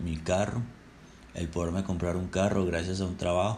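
A man with a very deep, low pitch speaks at a moderate pace. Audible room echo surrounds his voice. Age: 20s. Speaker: podcaster. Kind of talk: personal storytelling monologue. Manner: casual.

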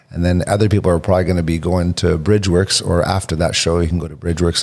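In an Ontario accent, a man speaks with a very deep, low pitch and monotone, flat intonation. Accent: Canadian (Ontario). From Canada (Hamilton, Ontario). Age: 40s. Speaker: indie rock musician. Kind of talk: casual chat.

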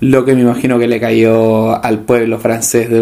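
Over noticeable background noise, a speaker with a Chilean accent talks in a flat monotone. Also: man. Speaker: podcast co-host. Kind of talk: casual chat. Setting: home living room. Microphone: cheap microphone.

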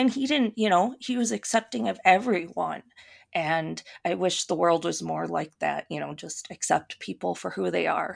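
A woman in a Minnesotan accent at a moderate pace against a quiet background. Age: 30s. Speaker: YouTuber and witch. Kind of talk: casual interview chat.

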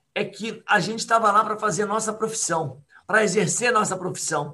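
A bright, sharp tone in a raised, projected voice at a moderate pace. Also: man. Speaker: triathlon coach. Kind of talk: casual chat. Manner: animated.

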